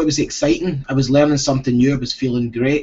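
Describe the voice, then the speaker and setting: A man speaks in a Scottish accent. His voice is fairly high, with fairly even intonation. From Scotland. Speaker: former professional soccer player. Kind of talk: interview answer.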